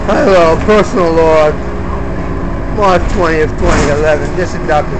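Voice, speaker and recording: A man speaking at a fairly slow pace, with long, frequent pauses, over loud background noise. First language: not English (English is third language). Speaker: video blogger. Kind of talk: personal video log, ranting monologue. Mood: aggrieved, agitated. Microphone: phone near.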